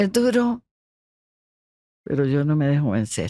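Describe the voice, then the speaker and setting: A woman speaks at a very slow pace in a dark, mellow tone, her pitch swinging very widely. The sound is dry and close, with no echo. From Costa Rica. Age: 70s. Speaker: motorsport pioneer and sports leader. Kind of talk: podcast interview.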